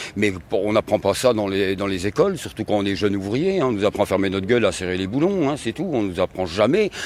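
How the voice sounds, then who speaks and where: This man's fairly low voice moves at a fairly quick pace, its pitch varying in an ordinary way. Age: 60s. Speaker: retired factory worker and trade unionist. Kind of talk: interview. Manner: halting, many hesitations.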